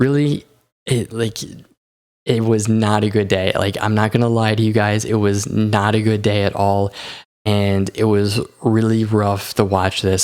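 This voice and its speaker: The delivery is monotone, with flat intonation. The pace is moderate. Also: man, very clean recording, silent background. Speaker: stock market YouTuber. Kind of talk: market analysis video. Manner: casual, conversational.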